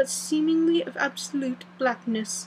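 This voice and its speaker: A woman speaks with a high pitch. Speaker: audiobook reader. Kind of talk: reading aloud. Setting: home recording with windows open. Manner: soft-spoken. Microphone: voice may be quiet.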